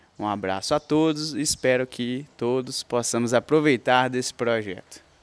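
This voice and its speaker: In a dry, close sound with no echo, a man with a normal speaking voice and medium pitch talks at a fairly slow pace with ordinary pitch variation. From Minas Gerais, Brazil (Coronel Fabriciano). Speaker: law professor, podcaster. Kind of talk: solo podcast introduction. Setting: parents' house in small town.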